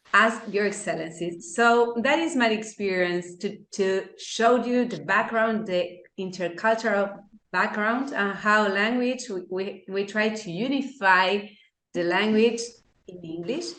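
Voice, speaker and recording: A woman speaks fairly slowly with an Argentine accent at a medium pitch and ordinary pitch variation. Her voice carries audible room echo. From Argentina. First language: Spanish. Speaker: law lecturer and arbitrator. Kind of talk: lecture. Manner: halting.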